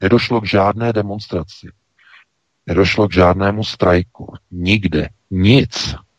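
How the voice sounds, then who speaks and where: A man with a plain, everyday voice, a fairly low pitch, fairly even intonation and a fairly slow pace. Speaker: news site editor-in-chief. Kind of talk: talk radio commentary. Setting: studio.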